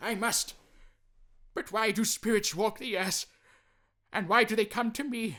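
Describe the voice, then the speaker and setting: Using a put-on character voice, a man projects loudly at a high pitch. He keeps a moderate pace with long, frequent pauses. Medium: read story. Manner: caustic and cold.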